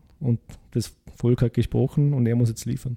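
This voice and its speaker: Flat and monotone, a man speaks at a medium pitch and moderate pace. His dark, mellow tone comes through dry and close, with no echo. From Vorarlberg, Austria. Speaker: podcast co-host. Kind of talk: casual political discussion.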